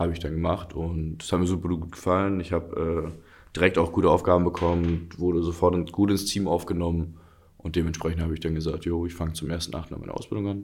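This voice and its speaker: A man's very deep, low voice, very fast and flat in a monotone. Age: 20s. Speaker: handball player. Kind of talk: casual interview.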